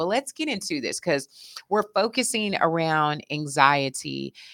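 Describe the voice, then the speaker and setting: A woman with an American accent and a very deep, low pitch speaks in a warm, animated tone, in a very clean recording with a silent background and a dry, close sound with no echo. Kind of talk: casual interview conversation.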